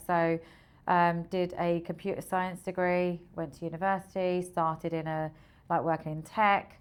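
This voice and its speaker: A woman's fairly low voice with monotone, flat intonation, on a very clean recording against a silent background. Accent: Essex. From Essex, England. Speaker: recruitment software founder. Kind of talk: podcast interview.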